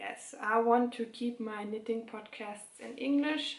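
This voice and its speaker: A woman speaks at a fairly slow pace in a fairly high pitch. Noticeable background noise runs behind her. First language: German. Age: 20s. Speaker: knitting podcaster. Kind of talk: casual chat. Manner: halting.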